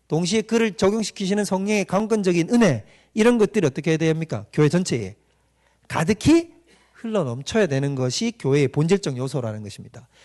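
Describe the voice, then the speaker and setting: Against a quiet background, the dry, close recording with no echo captures a man speaking at a fairly quick pace in a high pitch with very wide pitch swings. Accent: slight Gyeongsang. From Gyeongsang Province, South Korea. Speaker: pastor. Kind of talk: lecture. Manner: interactive, frequent rhetorical questions to audience.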